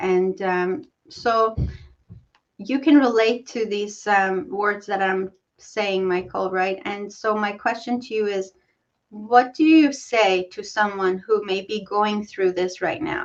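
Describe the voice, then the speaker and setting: At a very slow pace, a woman with a non-native accent speaks in a medium pitch. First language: not English. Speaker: talk show host. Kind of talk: interview. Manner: halting.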